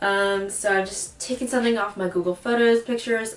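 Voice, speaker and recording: A plain, everyday voice from a woman at a fairly slow pace, with ordinary pitch variation. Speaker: DIY video creator. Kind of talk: casual tutorial voiceover. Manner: casual, filler words.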